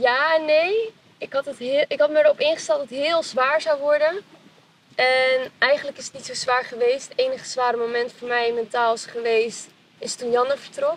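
A woman's high-pitched voice with ordinary pitch variation, big swings in loudness, a moderate pace and noticeable background noise. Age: 20s. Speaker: reality show contestant, recent design graduate. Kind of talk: casual interview.

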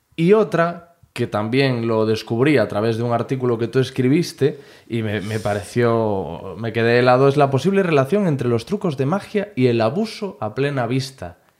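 Lively intonation from a man at medium pitch, at a moderate pace with hardly any pauses. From Spain, Galicia (Corcubión). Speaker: podcast host. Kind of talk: scripted intro; casual interview. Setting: in-person interview. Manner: animated.

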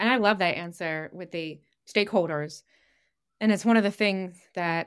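At a moderate pace, this woman uses a normal speaking voice. She sits at a medium pitch that shifts in an ordinary way. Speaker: product marketing director. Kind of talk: podcast interview. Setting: virtual studio.

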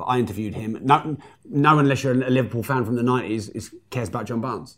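At a very fast pace, a man with an English accent talks at a medium pitch with ordinary pitch variation. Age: 40s. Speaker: entrepreneur and author. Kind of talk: casual interview. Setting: live stream.

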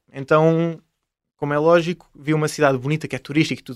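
Speaking very fast at a fairly high pitch, a man comes through a very clean recording with a silent background and a dry, close sound with no echo. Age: 20s. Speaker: traveller and travel YouTuber. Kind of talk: casual interview.

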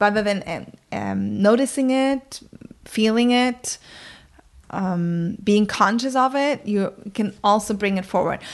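In a German accent, a woman talks at a fairly slow pace, leaving long, frequent pauses. Her pitch is medium and varies in an ordinary way. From northern Germany, countryside near Bremen. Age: 40s. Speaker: communication coach. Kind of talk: interview. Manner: hesitant, with many fillers.

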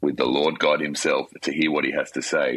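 The speaker is a man. He has an Australian accent. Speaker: worship leader. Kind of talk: interview.

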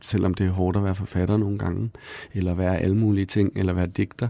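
A man speaks at a fairly quick pace in a fairly low pitch, his tone dark and mellow, with a dry, close sound and no echo. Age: 30s. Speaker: author. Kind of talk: interview conversation.

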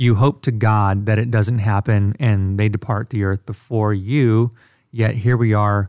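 A man's unremarkable speaking voice at a fairly low pitch, with fairly even intonation, dry, close sound with no echo, and a very clean recording with a silent background. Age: 40s. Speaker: podcast producer. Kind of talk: casual chat.

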